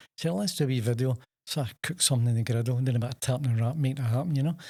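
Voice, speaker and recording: With a Scottish accent, a man talks at a very fast pace and a medium pitch. His voice is somewhat breathy, with ordinary pitch variation. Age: 70s. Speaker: chef and takeaway owner. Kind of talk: podcast interview. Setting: studio.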